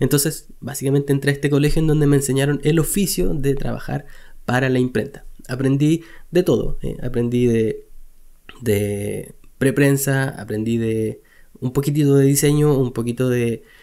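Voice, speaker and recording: Against a quiet background, a man with a Chilean accent speaks at a moderate pace in a fairly high pitch with a dark, mellow tone and ordinary pitch variation. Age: 30s. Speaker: web designer and online teacher; web design teacher. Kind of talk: personal storytelling vlog. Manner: casual, with frequent hesitations and repetitions. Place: home room. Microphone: studio mic.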